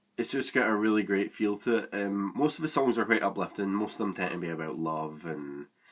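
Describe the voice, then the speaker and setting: Using lively intonation, a man with a Scottish accent speaks at a fairly low pitch. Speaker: music reviewer. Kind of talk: casual review monologue. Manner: hesitant, many fillers.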